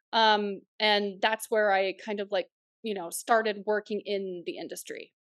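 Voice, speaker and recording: An unremarkable speaking voice talks at a fairly slow pace. The intonation stays fairly even. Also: woman, medium pitch for a woman. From northeastern Oklahoma / southwest Missouri. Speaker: writer-director. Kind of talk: interview chat.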